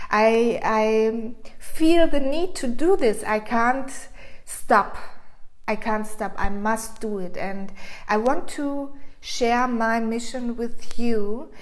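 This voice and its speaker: A woman with a non-native accent talks at a very slow pace. Her pitch is fairly high, and audible room echo surrounds her. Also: ordinary pitch variation. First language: German. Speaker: frequency coach. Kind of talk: casual vlog monologue. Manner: halting.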